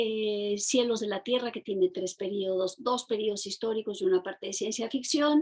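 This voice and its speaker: The speech moves at a moderate pace with ordinary pitch variation. There are hardly any pauses. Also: woman, fairly high pitch for a woman. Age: 60s. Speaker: novelist and poet. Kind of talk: interview. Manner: halting, many fillers and repetitions.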